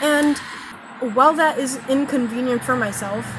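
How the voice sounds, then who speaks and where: Through audible room echo and noticeable background noise, a woman speaks with a high pitch and lively intonation. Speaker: spiritual vlogger and tarot reader. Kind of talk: casual spiritual vlog monologue. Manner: slow; halting.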